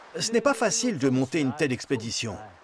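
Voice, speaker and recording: Speaking at a moderate pace, a man's voice moves through very wide pitch swings. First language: Chinese (speaking French). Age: 60s. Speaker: retired motorcyclist. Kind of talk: interview.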